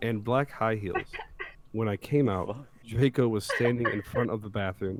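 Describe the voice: Ordinary pitch variation in plain reading aloud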